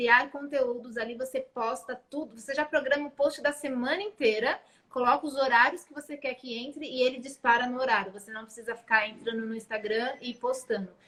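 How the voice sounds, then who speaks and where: A bright, sharp tone carries speech whose intonation stays fairly even. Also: woman. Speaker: social media marketer. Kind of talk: live stream chat. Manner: fast.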